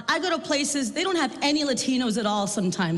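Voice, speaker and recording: A woman with an American accent at a very fast pace, very wide pitch swings, noticeable background noise, and audible room echo. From South Texas. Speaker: comedian. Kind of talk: stand-up. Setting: stage with audience.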